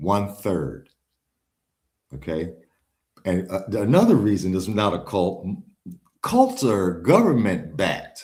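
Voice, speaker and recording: A man talks fairly slowly at a fairly low pitch, with ordinary pitch variation. His somewhat breathy delivery includes long, frequent pauses. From Chicago, US. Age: 60s. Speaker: religious movement follower and author. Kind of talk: interview. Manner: emphatic.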